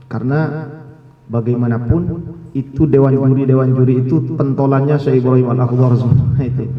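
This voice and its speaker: A man at medium pitch talks at a fairly quick pace with monotone, flat intonation, amid audible room echo and noticeable background noise. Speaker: Quran recitation lecturer. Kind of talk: scholarly discussion talk.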